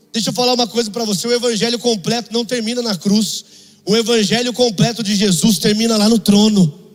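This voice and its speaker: Noticeable background noise sits under this recording of a man. He talks at a fairly quick pace with a high pitch. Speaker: preacher. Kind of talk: sermon. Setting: church. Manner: animated; exhortative.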